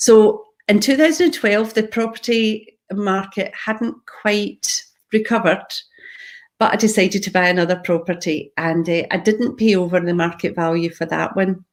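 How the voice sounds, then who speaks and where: At a moderate pace, a woman speaks with medium pitch and ordinary pitch variation. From Scotland, Glasgow. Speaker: property investor. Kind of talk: live talk on own story.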